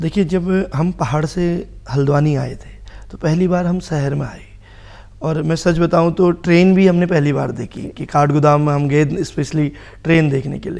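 A man speaks at a fairly high pitch with a fairly even intonation and a fairly slow pace. His loudness swings widely. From Kumaon, Uttarakhand (Bageshwar, then Haldwani); Uttarakhand. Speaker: social worker and advocate; talk show guest. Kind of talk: TV talk show interview. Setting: TV studio. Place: studio. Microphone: lapel.

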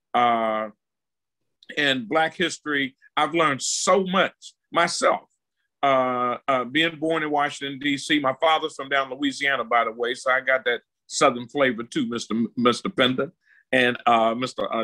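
A man with a bright, sharp tone speaks at a fairly slow pace. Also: ordinary pitch variation, quiet background. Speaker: regular panelist. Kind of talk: panel discussion. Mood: warm, respectful. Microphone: video call.

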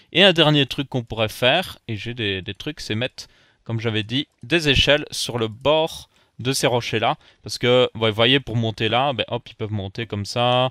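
The recording is very clean, with a silent background. A man with a medium pitch and a bright, sharp tone speaks at a fairly slow pace. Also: ordinary pitch variation, dry, close sound with no echo. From Belgium. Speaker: gaming YouTuber. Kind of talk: Minecraft let's play commentary.

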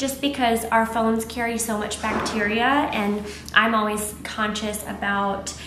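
A woman talks at a fairly slow pace amid audible room echo and light background noise. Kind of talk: casual vlog tutorial. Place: shop.

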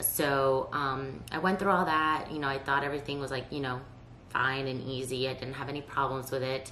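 With audible room echo and light background noise, a woman speaks at a moderate pace in a very deep, low pitch, with a bright, sharp tone and fairly even intonation. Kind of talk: casual vlog chat. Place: home room.

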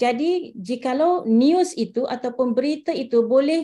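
Her voice is high with a dark, mellow tone. The woman speaks very slowly with ordinary pitch variation. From Malaysia. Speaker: visiting university lecturer; visiting lecturer. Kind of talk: online lecture; lecture. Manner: hesitant, many fillers.

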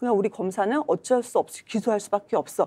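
Dark, mellow tone from a woman talking at a fairly quick pace. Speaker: party spokesperson. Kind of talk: political panel discussion. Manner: animated, argumentative. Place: studio. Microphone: lapel.

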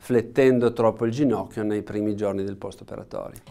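A man's dark, mellow tone with fairly even intonation against a quiet background. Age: 60s. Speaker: orthopaedic knee surgeon, professor; orthopedic professor. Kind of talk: expert interview explanation. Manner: halting, many fillers and repetitions. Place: studio.

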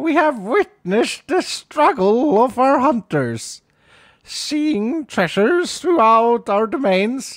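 In a put-on character voice, a female-sounding speaker talks at a high pitch and a very slow pace. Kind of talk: ceremonial. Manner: grand, formal announcement.

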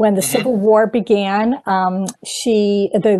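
Over a quiet background, a woman with a medium pitch and a dark, mellow tone speaks with fairly even intonation. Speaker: author. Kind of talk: interview. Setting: video call. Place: home room. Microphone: earbuds.

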